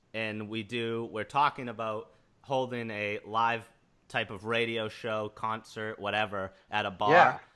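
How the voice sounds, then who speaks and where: Speaking at a fairly slow pace in an American accent, the man has a medium pitch, a bright, sharp tone and fairly even intonation. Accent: Boston, some say southern. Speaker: podcast host. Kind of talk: casual chat.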